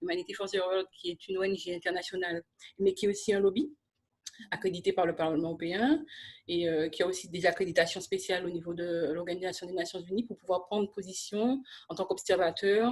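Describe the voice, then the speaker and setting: At a fairly quick pace, a woman talks in an unremarkable speaking voice of medium pitch with ordinary pitch variation. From Martinique. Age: 30s. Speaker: social entrepreneur and lobbyist. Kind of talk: interview.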